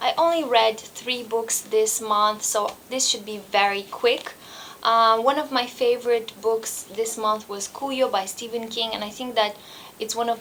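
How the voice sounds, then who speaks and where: Speaking at a fairly slow pace is a woman. She has a non-native accent. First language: not English. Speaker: booktuber. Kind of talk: book review vlog. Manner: halting.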